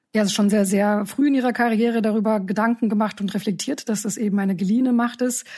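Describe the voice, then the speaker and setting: A woman's very fast, fairly high-pitched voice, somewhat breathy with a dark, mellow tone, very even loudness, fairly even intonation and hardly any pauses. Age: middle-aged. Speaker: podcast host, news editor-in-chief. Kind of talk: interview.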